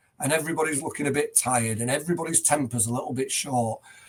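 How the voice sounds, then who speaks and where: A man speaks with an English accent. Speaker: headteacher. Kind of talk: podcast interview.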